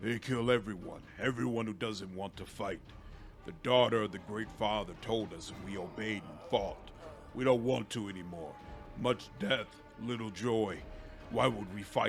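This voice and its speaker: Over clear background music, a man does a put-on character voice, fairly low in pitch and at a moderate pace. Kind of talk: broken simple speech. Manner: slow, laborious, clipped words.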